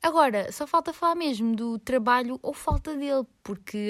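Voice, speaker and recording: The recording is very clean, with a silent background and a dry, close sound free of echo. In it, a woman talks at a moderate speed. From Lisbon, Portugal. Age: 20s. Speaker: podcaster and university student. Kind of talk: casual solo monologue.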